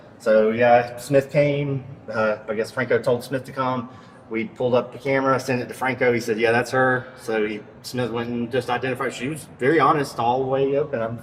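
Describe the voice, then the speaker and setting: A man at a medium pitch and fairly quick pace, monotone and flat, with noticeable background noise. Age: 30s. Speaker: store loss prevention officer. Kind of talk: casual chat.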